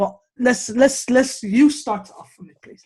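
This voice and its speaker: Somewhat breathy and animated in tone, a woman speaks at a fairly slow pace. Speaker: sports podcast host. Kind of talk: casual chat.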